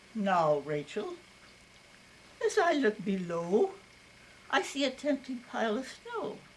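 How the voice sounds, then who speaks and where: Amid noticeable background noise, a woman with an American accent speaks at a very slow pace and medium pitch, with very wide pitch swings. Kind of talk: poetry reading. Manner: wryly humorous.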